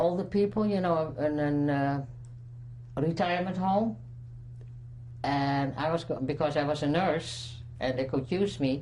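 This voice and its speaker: A woman speaks at a fairly slow pace in a very deep, low voice with a Dutch accent. Long, frequent pauses break her speech, and the room echo is audible. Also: ordinary pitch variation. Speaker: Holocaust survivor. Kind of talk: testimony. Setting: recorded interview. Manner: halting.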